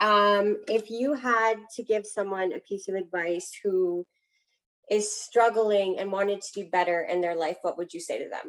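Here is a woman with an unremarkable speaking voice at a medium pitch. She keeps a moderate pace and fairly even intonation. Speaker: podcast host. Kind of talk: casual interview chat.

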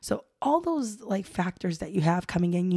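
A woman's dark, mellow, somewhat breathy voice moves at a moderate pace. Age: 30s. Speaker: podcast host. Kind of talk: solo podcast monologue. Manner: casual, filler-heavy.

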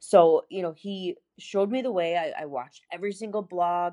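A woman speaks in an American accent with an unremarkable speaking voice and fairly low pitch. Her pace is moderate, and the background is quiet. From Buffalo, New York. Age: 30s. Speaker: pharmacist and bikini competitor. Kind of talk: casual interview.

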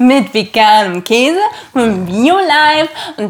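A woman's voice with lively intonation. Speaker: podcast co-host. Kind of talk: casual chat. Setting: at home on the couch.

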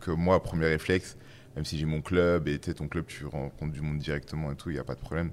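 A man's very deep, low voice with vocal fry, flat monotone intonation and a fairly quick pace. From western France. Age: 30s. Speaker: startup founder. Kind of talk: casual chat. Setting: studio.

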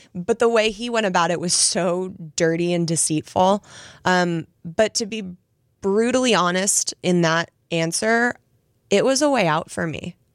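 In a very clean recording with a silent background, a woman with an unremarkable speaking voice talks at a medium pitch and fairly slow pace, the sound dry and close with no echo. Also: ordinary pitch variation. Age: 30s. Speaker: author, guest. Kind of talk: personal testimony.

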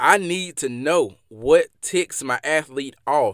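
A man with a Mississippi accent talks with ordinary pitch variation in a dry, close sound that has no echo. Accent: Southern US (Mississippi). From Mississippi, US South. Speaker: podcast host and former athlete. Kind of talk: solo motivational podcast monologue. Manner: motivational, conversational, with fillers.

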